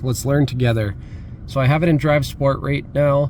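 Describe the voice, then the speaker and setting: There is noticeable background noise behind a man speaking at medium pitch. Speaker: car flipper and auto youtuber. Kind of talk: casual vlog while driving. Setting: in a car. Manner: monotone; mellow.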